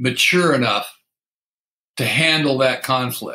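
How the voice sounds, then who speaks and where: A man's fairly high voice with a bright, sharp tone and ordinary pitch variation. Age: 70s. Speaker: recovering alcoholic sharing experience. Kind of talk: casual chat.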